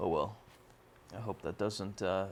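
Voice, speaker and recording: A quiet man's fairly low voice with vocal fry, at a moderate pace. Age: 20s. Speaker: youtuber. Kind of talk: casual monologue. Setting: dorm room while gaming. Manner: quiet, talking low; halting, many fillers.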